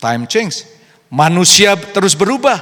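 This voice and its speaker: A man speaking at a fairly slow pace. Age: 60s. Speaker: pastor. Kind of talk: sermon. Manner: code-switching Indonesian and English.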